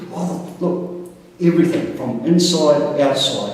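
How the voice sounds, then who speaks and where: A man with an Australian accent, audible room echo and noticeable background noise. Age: 60s. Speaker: patient. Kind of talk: testimony. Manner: animated.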